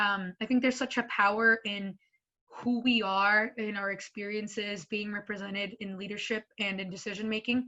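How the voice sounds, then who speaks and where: A woman with a Spanish accent talks at a moderate pace and medium pitch, her intonation monotone and flat. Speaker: school board member. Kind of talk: panel talk.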